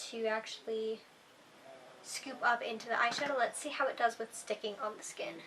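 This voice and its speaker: Against noticeable background noise, a woman speaks in a raised, projected voice. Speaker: beauty vlogger. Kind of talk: makeup tutorial vlog.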